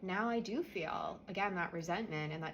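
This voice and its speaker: Quiet speech with ordinary pitch variation and audible room echo. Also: woman. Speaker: energy healer. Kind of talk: guided spiritual clearing tutorial. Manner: quiet, subdued; casual, conversational.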